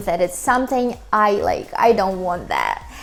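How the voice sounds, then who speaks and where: A woman with a Ukrainian accent at a fairly slow pace, with ordinary pitch variation. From Ukraine. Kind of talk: casual talk to camera.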